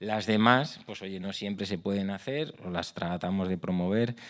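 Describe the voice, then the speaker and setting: A man's fairly low voice with ordinary pitch variation, on a very clean recording against a silent background. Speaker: accessibility project director. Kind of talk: conference talk. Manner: fast.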